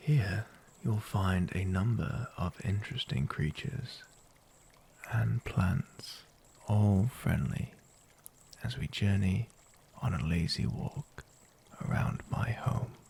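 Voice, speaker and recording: Soft-spoken and fairly low-pitched, a man talks at a very slow pace with long, frequent pauses and lively intonation. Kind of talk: ASMR story narration.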